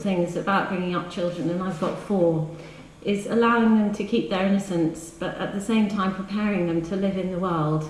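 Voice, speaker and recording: Audible room echo around a woman's speech. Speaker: poet reading her work. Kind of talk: poem reading, intimate live reading with brief chatty introductions between poems. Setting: live reading in a hall with audience. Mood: wry, rhythmic delivery. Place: hall. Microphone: camera far.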